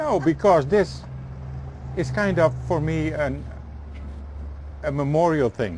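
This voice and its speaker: Amid noticeable background noise, a man with a Dutch accent talks at a very slow pace, with long, frequent pauses. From eastern Netherlands. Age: 60s. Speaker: tour guide. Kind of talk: guided walking tour. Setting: outdoors.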